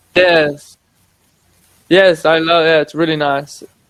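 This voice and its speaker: With fairly even intonation, a man talks in a high pitch. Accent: English. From England. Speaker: online English tutor. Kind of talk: casual chat.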